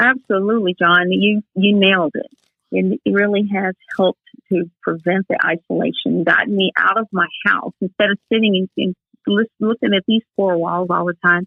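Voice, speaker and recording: This is a woman with a normal speaking voice at medium pitch. She talks at a moderate pace with fairly even intonation. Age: 60s. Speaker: Air Force veteran with MS, wheelchair athlete. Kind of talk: podcast interview.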